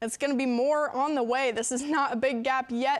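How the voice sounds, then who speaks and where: A woman speaks with a Midwestern US accent. Her pitch is high. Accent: US Midwest. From Nebraska, Fremont. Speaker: TV meteorologist. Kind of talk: weather forecast.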